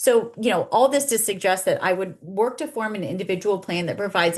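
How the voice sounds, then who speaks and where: A woman's voice with lively intonation. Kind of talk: webinar Q&A. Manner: fast; halting.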